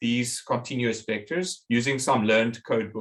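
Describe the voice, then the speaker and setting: His voice has a somewhat breathy quality. The man talks at a fairly slow pace. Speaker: professor. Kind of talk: lecture.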